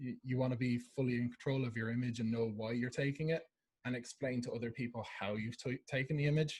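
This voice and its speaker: A man with an Irish accent, medium pitch, somewhat breathy delivery, ordinary pitch variation and a fairly quick pace. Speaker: camera club presenter. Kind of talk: lecture. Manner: fast.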